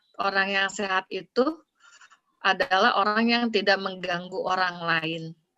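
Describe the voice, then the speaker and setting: Speaking at a fairly slow pace, a woman with a bright, sharp tone keeps her medium pitch and fairly even intonation. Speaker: psychology lecturer. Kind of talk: academic webinar discussion.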